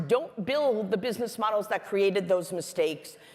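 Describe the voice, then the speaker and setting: A woman speaks in an animated tone with lively intonation, with noticeable background noise behind her. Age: 60s. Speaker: business executive giving a keynote talk. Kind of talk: conference talk. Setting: stage with audience.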